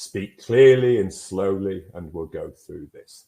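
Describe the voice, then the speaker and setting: Speaking in a northern English accent, a man uses a fairly low pitch, a somewhat breathy delivery and a dark, mellow tone. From northern England. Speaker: mental health guidance presenter. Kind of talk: webinar presentation. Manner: clear and concise.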